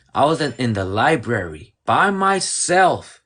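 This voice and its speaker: Against a quiet background, a man with an American accent makes very wide pitch swings. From Mexico, raised in the US from childhood. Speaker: podcast host. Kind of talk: casual livestream conversation.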